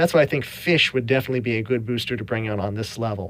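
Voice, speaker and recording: Very fast speech from a man, pitch moving in an ordinary way. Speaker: gaming video host. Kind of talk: game commentary. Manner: hesitant, many fillers.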